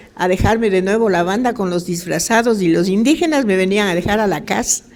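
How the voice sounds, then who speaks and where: A woman with a plain, everyday voice, ordinary pitch variation and a moderate pace. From Ecuador, Quito (Cotocollao). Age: 60s. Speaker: retired local resident. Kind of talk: casual chat.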